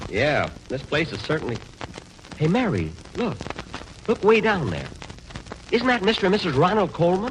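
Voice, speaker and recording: A man's high pitch with very wide pitch swings, a moderate pace and long, frequent pauses, over noticeable background noise. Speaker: radio comedian in a scripted sketch. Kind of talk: old-time radio comedy show. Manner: exasperated, stingy and vain.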